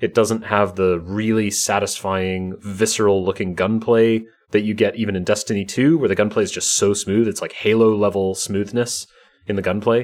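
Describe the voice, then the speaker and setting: A man has an unremarkable speaking voice at a fairly low pitch. He keeps a moderate pace and fairly even intonation. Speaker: podcast host; salesperson. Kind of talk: casual podcast chat.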